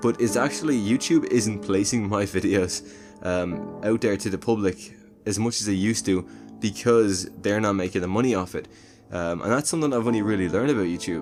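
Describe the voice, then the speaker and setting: Over music in the background, a man with a fairly low pitch speaks at a fairly quick pace with ordinary pitch variation. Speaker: movie reviewer. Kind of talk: casual talk to camera.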